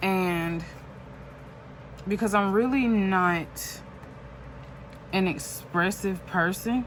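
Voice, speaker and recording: Speaking at a very slow pace with long, frequent pauses, a woman talks at a medium pitch amid audible room echo. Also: ordinary pitch variation. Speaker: journaling YouTuber. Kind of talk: casual chat while crafting. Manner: halting, self-correcting.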